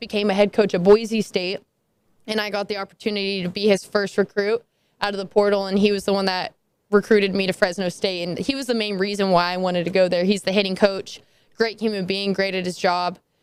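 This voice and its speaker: A woman at a medium pitch with monotone, flat intonation. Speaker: college softball player. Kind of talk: interview. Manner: loud when passionate.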